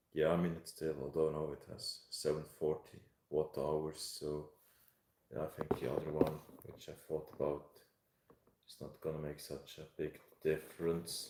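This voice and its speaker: A man with a Swiss German accent speaks in a very deep, low pitch with monotone, flat intonation, big swings in loudness and long, frequent pauses. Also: moderate pace. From Switzerland. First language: German (Swiss). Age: 30s. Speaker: live streamer. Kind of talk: casual chat. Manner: halting.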